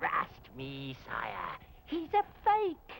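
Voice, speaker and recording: Clear background noise runs under a cartoonish character voice. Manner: huffy, scornful.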